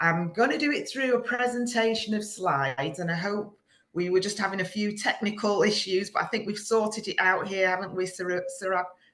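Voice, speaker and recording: In a Manchester accent, a woman talks at a moderate pace and medium pitch. She takes hardly any pauses. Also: ordinary pitch variation. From England, Manchester area. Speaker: business founder giving a masterclass. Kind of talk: online presentation to students.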